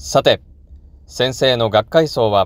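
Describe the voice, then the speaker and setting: This man's voice sits at a medium pitch with ordinary variation. He speaks at a fairly slow pace. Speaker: religious channel host. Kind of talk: memorial address. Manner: formal.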